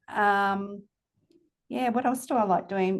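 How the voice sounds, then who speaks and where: With an Australian accent, a woman speaks at medium pitch and a moderate pace with ordinary pitch variation. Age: 60s. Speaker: company CEO. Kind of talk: podcast interview. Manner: casual, hesitant with fillers.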